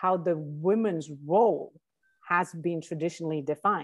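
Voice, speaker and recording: The background stays quiet. Her pace is fairly slow as the woman talks. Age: 40s. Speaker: life coach and author. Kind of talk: interview. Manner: halting with many fillers.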